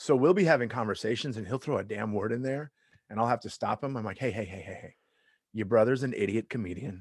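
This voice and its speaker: Very fast speech from a man in a Southern California accent, medium pitch, ordinary pitch variation, big swings in loudness, and a quiet background. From US West Coast, Long Beach, California. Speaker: stand-up comedian. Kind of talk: casual chat.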